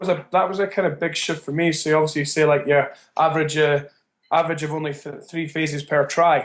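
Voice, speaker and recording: A man with a Scottish accent talks at a very fast pace in a fairly high pitch with monotone, flat intonation. The background is quiet. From Edinburgh, Scotland. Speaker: rugby coach. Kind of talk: interview answer.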